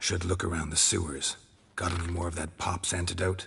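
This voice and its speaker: A man growls in a put-on character voice at a very deep, low pitch. He moves at a fairly quick pace. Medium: video game. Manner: dry, terse.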